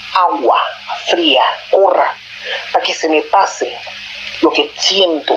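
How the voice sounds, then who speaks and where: A woman is talking with noticeable background noise present. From Panama. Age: 60s. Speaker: storyteller sharing a paranormal experience. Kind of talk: personal testimony. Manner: halting.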